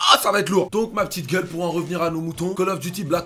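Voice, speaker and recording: The speaker has an animated, bright and sharp tone and moves at a fairly quick pace. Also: man. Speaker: gaming youtuber. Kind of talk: gaming reaction commentary.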